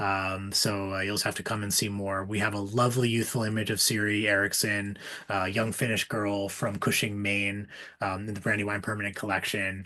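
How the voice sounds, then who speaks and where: A man's fairly low, monotone, flat delivery at a fairly quick pace, with audible room echo. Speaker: museum curator. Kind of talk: online lecture Q&A. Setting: video call. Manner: fast; halting with many fillers.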